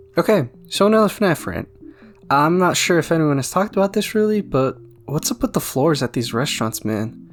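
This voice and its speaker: Music plays behind the voice. The delivery is fairly quick. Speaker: gaming video creator. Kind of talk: casual commentary rant.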